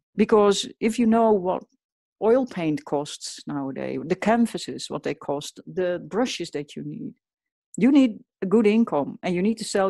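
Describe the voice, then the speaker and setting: A woman with a Dutch accent speaks at a moderate pace with lively intonation and a dark, mellow tone. The sound is dry and close with no echo over a quiet background. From Netherlands. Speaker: portrait artist. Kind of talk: interview.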